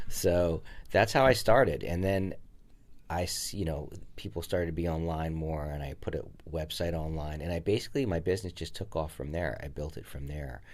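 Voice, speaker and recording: The speech moves at a fairly quick pace. Pitch variation is ordinary. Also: man, very deep, low pitch for a man. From New Jersey. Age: 50s. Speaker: art gallery owner. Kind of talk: interview. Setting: podcast.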